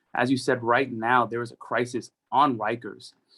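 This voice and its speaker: This man has a New York accent and a medium pitch. He talks at a moderate pace. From New York City, the Bronx. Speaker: politician. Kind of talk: rally speech. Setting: rally.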